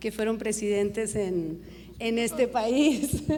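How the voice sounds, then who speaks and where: With audible room echo, a woman with a fairly high pitch speaks at a very slow pace. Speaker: TV news director. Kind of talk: Q&A at a journalism conference.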